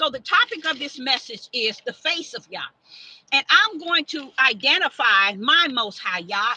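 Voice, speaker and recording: A woman's high, raised and projected voice at a fairly slow pace, with very wide pitch swings and a dry, close sound with no echo. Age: 60s. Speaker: self-styled prophetess and preacher. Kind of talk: sermon. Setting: livestream. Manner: repetitive, stammering restarts.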